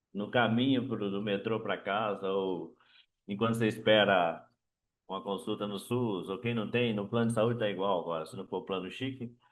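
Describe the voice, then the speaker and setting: Keeping a moderate pace, a man talks at a fairly low pitch with fairly even intonation. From Brazil. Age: 60s. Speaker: author. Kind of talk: book talk. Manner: halting.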